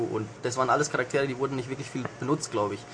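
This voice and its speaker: This man speaks with a Franconian accent. His pitch sits in the medium range. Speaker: intern at a games magazine. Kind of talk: casual game review.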